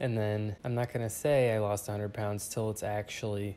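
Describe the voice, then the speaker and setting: A quiet man's voice of medium pitch at a moderate pace. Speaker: vlogger. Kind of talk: casual monologue. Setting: at home.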